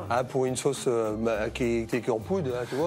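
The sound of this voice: At a fairly quick pace, a medium-pitched man speaks with ordinary pitch variation and very even loudness.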